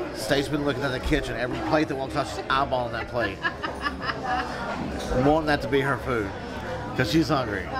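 The speech moves at a fairly quick pace with ordinary pitch variation. Crowd noise sounds in the background. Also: man. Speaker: food vlogger. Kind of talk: casual food review chat. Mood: relaxed, amused. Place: cafe.

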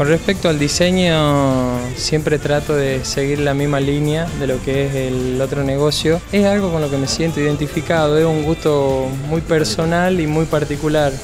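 The voice runs at a moderate pace with hardly any pauses and fairly even intonation. Clear music sounds in the background. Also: man. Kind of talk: interview answer. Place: shop. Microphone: handheld.

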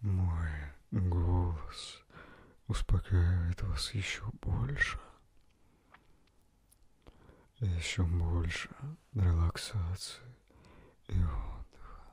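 A soft-spoken, somewhat breathy voice in a soothing tone, with ordinary pitch variation, long, frequent pauses and a dry sound with no echo. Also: man. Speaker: relaxation guide. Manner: soft, slow, soothing close-mic voice. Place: home room. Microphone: handheld.

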